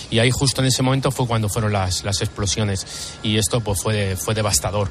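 Noticeable background noise surrounds a man who speaks at a moderate pace in a fairly low pitch with ordinary pitch variation. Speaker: firefighter. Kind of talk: testimony interview.

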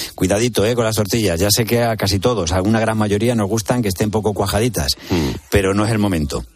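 The speech comes very fast with hardly any pauses and very even loudness, over noticeable background noise. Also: man, fairly low pitch for a man, ordinary pitch variation. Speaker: radio host. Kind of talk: radio magazine interview. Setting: radio studio.

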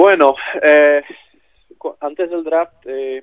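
A man speaks with fairly even intonation. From Czech Republic. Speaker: basketball player. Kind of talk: interview. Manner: halting.

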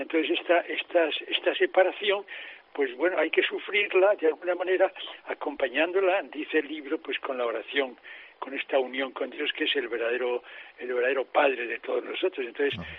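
Over noticeable background noise, a man talks at a fairly quick pace, his pitch fairly high with ordinary variation. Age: 80s+. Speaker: priest and author. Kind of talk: radio interview. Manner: halting, with many repetitions.

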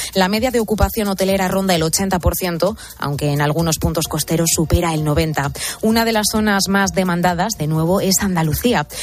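A woman's fairly low voice at a moderate pace, ordinary pitch variation, music in the background. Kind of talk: radio news bulletin reading. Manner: formal, brisk newsreader delivery.

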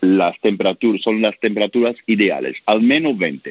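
This man's pitch sits in the medium range. It rises and falls in an ordinary way. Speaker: baker, sourdough expert. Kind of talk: radio interview. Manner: halting, with filler sounds.

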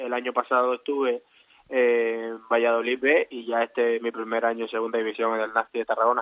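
A man's medium-pitched voice with monotone, flat intonation at a fairly quick pace. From Colombia, Caribbean coast (Santa Marta). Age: 20s. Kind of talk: interview.

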